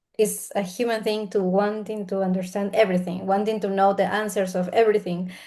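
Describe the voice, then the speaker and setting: A woman with a Peruvian accent speaks in a dark, mellow tone at medium pitch, her intonation monotone and flat. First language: Spanish. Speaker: spiritual healer and mentor. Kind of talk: interview conversation. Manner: halting.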